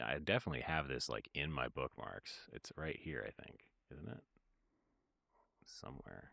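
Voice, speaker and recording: A man speaks at a very deep, low pitch and a moderate pace, with vocal fry and a bright, sharp tone. Ordinary pitch variation, big swings in loudness and long, frequent pauses come through a dry sound with no echo and a quiet background. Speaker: music producer streamer. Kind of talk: casual livestream chat. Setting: livestream. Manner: halting.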